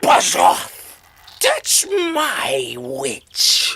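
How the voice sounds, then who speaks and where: A put-on character voice comes out growling, shrill and croaky all at once. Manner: rude, angry, commanding.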